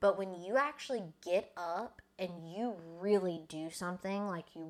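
A woman speaks at a very slow pace in a medium pitch. Her pitch varies in an ordinary way. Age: 20s. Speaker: social media manager. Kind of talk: casual chat.

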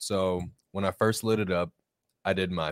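A man speaks with a very deep, low pitch in monotone, flat intonation. His pace is moderate, and the recording is very clean with a silent background. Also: dry, close sound with no echo. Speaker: cigar show crew member. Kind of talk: live show casual chat. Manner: soft-spoken.

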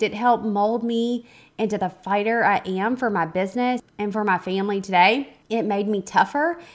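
With music playing in the background, a woman in a Southern US accent speaks at a moderate pace and a fairly high pitch. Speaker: podcast host, photographer and business coach. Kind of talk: podcast intro monologue. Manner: casual, conversational with fillers.

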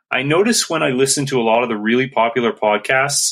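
A man's plain, everyday voice at medium pitch, fairly quick pace, ordinary pitch variation. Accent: Canadian. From Canada, Saskatchewan. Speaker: listener asking a question. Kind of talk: recorded voice question.

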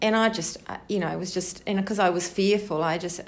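A woman with a New Zealand accent, fairly even intonation, and audible room echo. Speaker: twelve-step group member. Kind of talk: testimony. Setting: support group meeting. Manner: halting.

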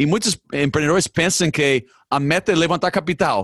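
In a dry, close sound with no echo and a quiet background, a man with a non-native accent speaks at a moderate pace. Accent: foreign accent in Portuguese. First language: English (speaking Portuguese). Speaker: podcast host. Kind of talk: interview conversation. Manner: halting, hesitant.

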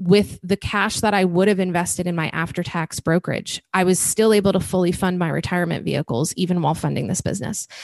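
Vocal fry runs through speech delivered at a very fast pace with hardly any pauses. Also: woman. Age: 30s. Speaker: podcast host and event business founder. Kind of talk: interview.

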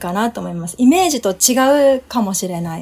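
A woman with a fairly high pitch and an unremarkable speaking voice. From Japan. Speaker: podcast guest. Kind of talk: casual chat.

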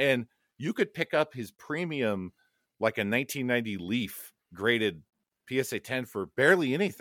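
A man with a Californian accent speaks at a moderate pace, his medium-pitched voice carrying lively intonation. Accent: Californian American English. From Los Angeles, US West Coast. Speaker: app developer and card collector. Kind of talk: casual chat.

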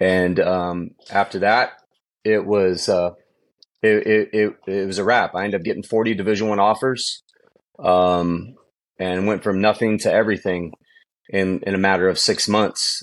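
A man with an American accent speaks at a moderate pace in a fairly low pitch, his intonation monotone and flat, with long, frequent pauses. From Southern California (San Bernardino). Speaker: high school football coach and former pro quarterback. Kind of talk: interview.

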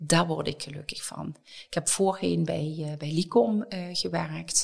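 At a fairly slow pace, a woman is speaking. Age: 60s. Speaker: company director of people and change. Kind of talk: podcast interview.

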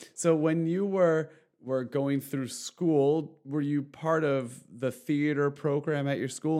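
Speaking at a fairly slow pace with hardly any pauses, a man uses a fairly high pitch and a dark, mellow tone, with ordinary pitch variation against a quiet background. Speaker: podcast host. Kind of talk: interview.

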